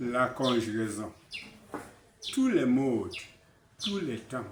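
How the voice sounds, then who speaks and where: Audible room echo surrounds a man with a Cameroonian accent whose intonation is lively. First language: Basaa (speaking French). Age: 80s+. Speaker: author. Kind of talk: interview.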